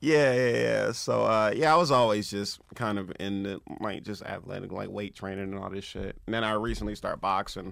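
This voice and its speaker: A man with an American accent, a normal speaking voice, fairly low pitch, ordinary pitch variation, a fairly quick pace and hardly any pauses. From Compton, Los Angeles. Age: 30s. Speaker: comedian. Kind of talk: casual chat. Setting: studio.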